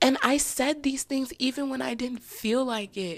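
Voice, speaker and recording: A woman speaks in a high voice at a fairly slow pace. The recording is very clean, with a silent background. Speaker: solo podcast host. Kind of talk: casual personal monologue. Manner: halting, trips over words.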